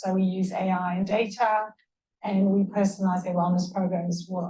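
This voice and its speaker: A medium-pitched woman's voice in a South African accent. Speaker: tech founder and sports psychologist. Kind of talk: panel discussion.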